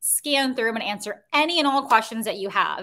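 The speaker has an American accent and a bright, sharp tone. The delivery is animated and at a fairly quick pace. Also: woman. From US Midwest, Chicago. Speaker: career coach. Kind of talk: live webinar workshop. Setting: livestream video.

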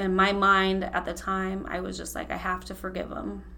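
Audible room echo surrounds a woman talking in an American accent. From Ohio, Holmes County. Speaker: coworker sharing personal story. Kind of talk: testimony. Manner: emotional.

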